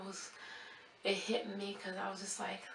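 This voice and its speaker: A soft-spoken woman of medium pitch, fairly slow, with audible room echo and noticeable background noise. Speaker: nursing graduate vlogger. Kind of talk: vlog rant.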